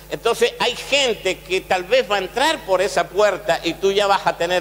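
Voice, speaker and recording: A man talks at a moderate pace while noticeable background noise continues. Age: 60s. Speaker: pastor. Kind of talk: sermon.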